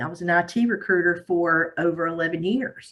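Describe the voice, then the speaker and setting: At a moderate pace, a woman with an American accent and medium pitch speaks with lively intonation. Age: 60s. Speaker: audience member, former IT recruiter. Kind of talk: audience comment.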